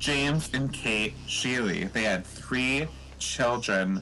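Very slowly and in a dramatic tone, a man with an American accent speaks at a fairly low pitch, his bright, sharp tone swinging very widely in pitch over vocal fry. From Eau Claire, Wisconsin. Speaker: podcast host. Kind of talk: ghost story telling. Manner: dramatic, hushed spooky storytelling.

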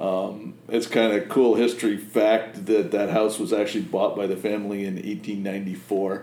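Speech with hardly any pauses, in an American accent, with audible room echo. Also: man, fairly low pitch for a man, ordinary pitch variation, moderate pace. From Massachusetts and Connecticut, US Northeast. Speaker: fly-tying vise maker, business owner. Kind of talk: casual interview chat. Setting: his production facility.

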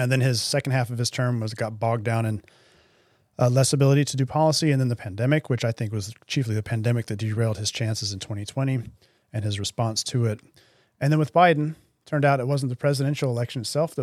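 Very fast and fairly even in intonation, a man talks at medium pitch with an American accent. The recording is very clean, the background silent. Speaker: former podcast host and market strategist. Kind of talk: casual analytical discussion. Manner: hesitant, filler-heavy.

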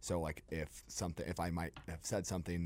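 A man's very deep, low voice, dark and mellow in tone, on a very clean recording with a silent background. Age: 30s. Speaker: PR firm owner and consultant. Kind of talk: casual radio interview. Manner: fast talker.

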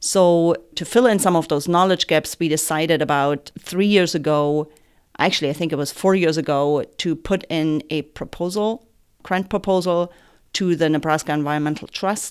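Moderate pace in a German accent, with ordinary pitch variation, on a very clean recording with a silent background. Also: woman, fairly low pitch for a woman. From Germany. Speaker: soil health extension educator. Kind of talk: interview.

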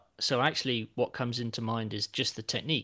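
Bright and sharp in tone, a man speaks with an English accent at a medium pitch and a fairly quick pace. The recording is very clean, with a silent background. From England. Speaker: football fan guest. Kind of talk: casual chat.

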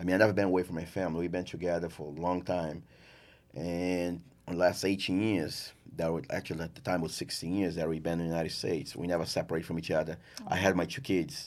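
A man speaks at a very fast pace with a Portuguese accent, his pitch very deep and low and his intonation fairly even. The recording is very clean, with a silent background. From Brazil, rural farm. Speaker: chef and restaurant owner. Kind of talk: casual interview.

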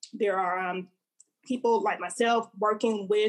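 With an Alabama accent, a woman talks in a fairly high pitch. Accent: Southern US (Alabama). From Montgomery, Alabama, US South. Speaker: poet and actor. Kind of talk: casual interview chat.

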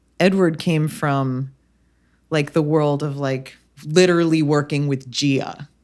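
A woman talks at a very slow pace in a very deep, low pitch, with fairly even intonation. The recording is very clean, with a silent background. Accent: American. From New Jersey. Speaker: hairstylist. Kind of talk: casual chat. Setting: in person, everyone wearing masks.

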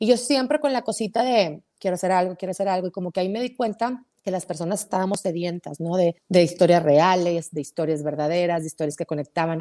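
Speaking at a very fast pace with hardly any pauses, a woman uses lively intonation at a fairly low pitch, the sound dry and close with no echo. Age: 40s. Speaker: podcast host. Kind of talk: casual chat. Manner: animated.

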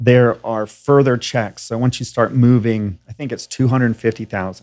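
In an American accent, a man uses an ordinary speaking voice at medium pitch, moderate pace and fairly even intonation. The recording is very clean, with a silent background. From Tennessee, US South. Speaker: fintech co-founder. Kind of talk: interview conversation.

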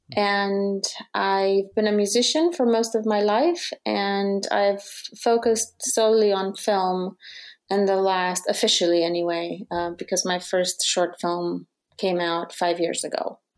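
In a very clean recording with a silent background, a woman with a Romanian accent speaks fairly slowly at a medium pitch with ordinary pitch variation. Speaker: musician and documentary filmmaker. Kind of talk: interview.

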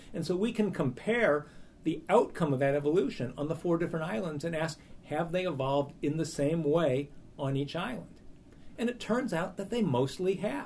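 At a moderate pace, a man with a fairly high voice speaks in a normal speaking voice with lively intonation. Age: 50s. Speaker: evolutionary biology professor. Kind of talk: interview.

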